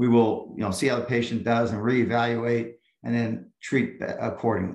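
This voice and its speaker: With audible room echo around him, a man speaks at a moderate pace and medium pitch in a flat monotone. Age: 60s. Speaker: chiropractor. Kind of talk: interview.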